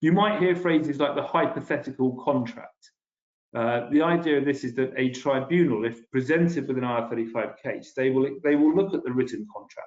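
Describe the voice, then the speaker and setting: Talking at a fairly quick pace, a man with a British accent has a fairly high pitch and ordinary pitch variation. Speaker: policy director presenting a webinar. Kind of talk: webinar presentation. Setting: video webinar. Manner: fast; hesitant, with fillers and restarts.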